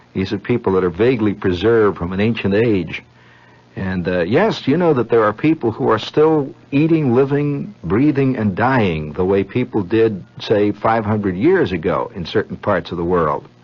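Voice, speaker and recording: Using an ordinary speaking voice, a man with a fairly low pitch and lively intonation talks at a moderate pace. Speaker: radio storyteller. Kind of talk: radio monologue. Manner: rambling, conversational.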